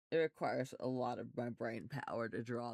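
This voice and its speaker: A man's voice comes across with a dry, close sound and no echo. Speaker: art instructor. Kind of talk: tutorial. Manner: soft-spoken.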